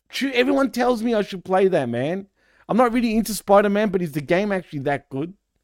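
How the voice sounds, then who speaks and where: A man with a high pitch rushes along at a very fast pace, his voice swinging very widely. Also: very clean recording, silent background. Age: 40s. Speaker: wrestling podcast host. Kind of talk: casual chat.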